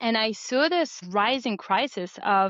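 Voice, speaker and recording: Speaking with a French accent, a woman uses a fairly high pitch. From France. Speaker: board game creator. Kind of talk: interview.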